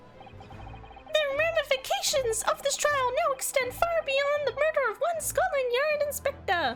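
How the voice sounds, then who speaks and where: Over music in the background, a put-on character voice, extremely high and squeaky, moves at a moderate pace with hardly any pauses. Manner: pompous, formal.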